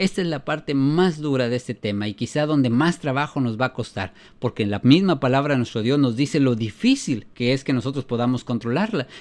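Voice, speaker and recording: A man with a medium-pitched voice talks at a fairly quick pace, barely pausing. His pitch varies in an ordinary way against a quiet background. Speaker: preacher. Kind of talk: sermon. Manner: fast.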